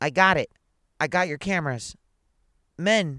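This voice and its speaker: Put-on character voice from a man, high-pitched, croaky and raised to project, with ordinary pitch variation and a moderate pace, the sound dry and close with no echo in a very clean recording with a silent background. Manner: strained, desperate.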